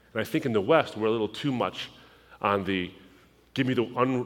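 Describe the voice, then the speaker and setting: A man with an unremarkable speaking voice and an American accent talks at a fairly quick pace, his medium pitch showing ordinary variation, on a very clean recording with a silent background. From US, Lebanese family background. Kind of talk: sermon.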